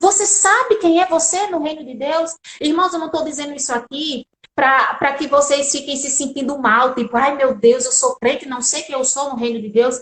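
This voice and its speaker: A woman with a high pitch talks in an animated tone at a moderate pace. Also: ordinary pitch variation. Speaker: lawyer and lay preacher. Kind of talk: sermon.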